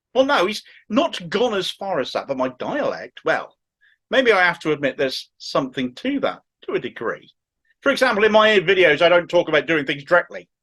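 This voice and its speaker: Against a quiet background, a man with a strong Cornish accent speaks high and at a fairly quick pace, with a bright, sharp tone and very wide pitch swings. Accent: thick Cornish. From Cornwall, England. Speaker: political commentary YouTuber. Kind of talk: political commentary monologue.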